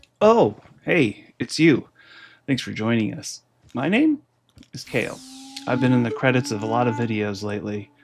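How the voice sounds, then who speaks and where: Music plays in the background while the speech moves at a moderate pace with long, frequent pauses. Pitch variation is ordinary, and the loudness swings widely. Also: man, medium pitch for a man. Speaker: animator. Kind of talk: casual Q&A monologue.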